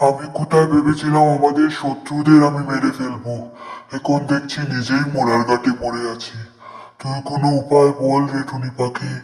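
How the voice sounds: In a cartoonish character voice, a man speaks at a fairly high pitch with monotone, flat intonation and a slight echo. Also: moderate pace.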